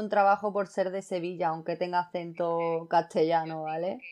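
A woman uses a normal speaking voice at medium pitch and a fairly quick pace, with a quiet background. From Andalusia, Costa del Sol (Fuengirola). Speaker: podcast guest, design student. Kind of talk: casual chat.

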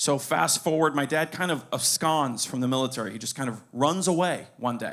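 In an American accent, a man with a fairly high pitch and a normal speaking voice talks at a moderate pace with ordinary pitch variation and hardly any pauses. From Pinecrest, Miami, Florida. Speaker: stand-up comedian. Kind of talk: live storytelling on stage. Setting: stage with live audience in a bar.

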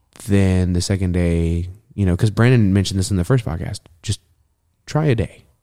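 This voice has a dark, mellow tone and moves at a fairly quick pace. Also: man, very deep, low pitch for a man, ordinary pitch variation. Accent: American. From Texas. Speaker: former cannabis industry worker. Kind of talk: casual chat.

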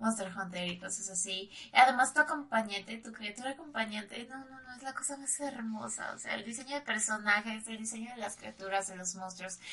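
A woman with a Mexican accent speaks at a fairly quick pace with hardly any pauses, her fairly high pitch showing ordinary variation and her loudness swinging widely. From Mexico. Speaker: streamer. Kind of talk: casual chat.

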